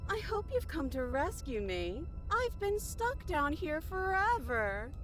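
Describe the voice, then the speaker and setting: Clear music plays behind a female-sounding, put-on character voice that is extremely high-pitched and moves at a fairly slow pace. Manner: whiny, complaining.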